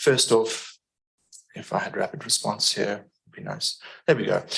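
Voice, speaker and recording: The speaker is a man. He has a South African accent. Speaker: environmental engineering consultant. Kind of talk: public meeting presentation.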